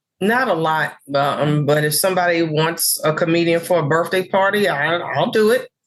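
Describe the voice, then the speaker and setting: A woman speaks in an unremarkable speaking voice with an American accent, fairly low in pitch and with ordinary pitch variation. She keeps a moderate pace with hardly any pauses and very even loudness. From New York City (Harlem). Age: 60s. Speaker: comedian. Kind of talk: interview chat.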